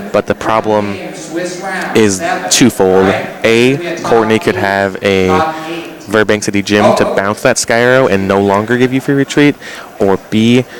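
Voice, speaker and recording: A man at medium pitch speaks very slowly with lively intonation and very even loudness. Noticeable background noise runs behind him. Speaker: Pokemon tournament commentator. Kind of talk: sports-style tournament commentary.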